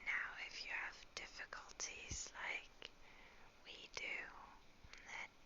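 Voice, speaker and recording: Whispered speech comes through with noticeable noise in the background. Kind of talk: ASMR cooking narration.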